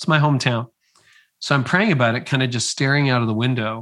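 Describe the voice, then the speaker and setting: A man speaks at a medium pitch with a Canadian accent, in an unremarkable speaking voice. His pitch variation is ordinary, and the recording is very clean with a silent background. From Ontario, Canada. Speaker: leadership author and podcaster, former pastor. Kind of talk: interview conversation.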